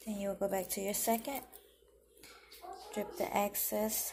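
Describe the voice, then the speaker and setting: A woman's fairly slow, fairly evenly intoned speech over noticeable background noise. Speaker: home cook vlogger. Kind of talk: tutorial. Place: kitchen. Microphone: phone near.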